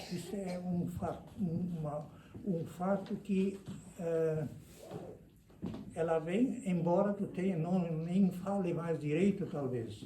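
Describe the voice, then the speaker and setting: Long, frequent pauses break up a man's very slow speech, high in pitch with ordinary variation. Audible room echo surrounds his voice. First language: German (speaking Portuguese). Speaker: lecturer on immigration history. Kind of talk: lecture. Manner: halting.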